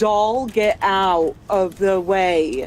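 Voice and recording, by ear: Over clear background noise, a booming, put-on character voice comes through at a middle pitch.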